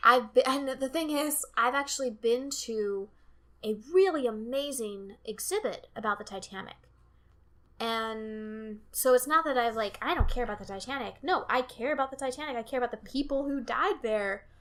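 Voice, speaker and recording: A woman with an American accent has a high pitch and ordinary pitch variation. She speaks at a moderate pace. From US East Coast. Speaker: podcast host. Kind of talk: casual chat. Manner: overemphasizes certain syllables.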